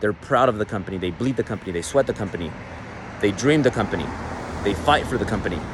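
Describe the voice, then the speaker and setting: Over noticeable background noise, a man with a Mexican accent speaks very fast at a fairly low pitch, his intonation lively. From Mexican American. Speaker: business coach, entrepreneur. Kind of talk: motivational business talk.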